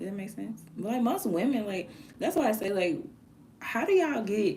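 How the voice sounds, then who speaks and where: Amid audible room echo, a woman with a dark, mellow, somewhat breathy tone speaks at a moderate pace, her pitch swinging very widely. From US South (Alabama). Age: 30s. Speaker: live streamer and music artist. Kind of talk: casual live stream chat. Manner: animated.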